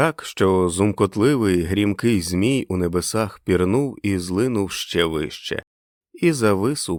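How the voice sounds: This is a natural reading voice over a quiet background.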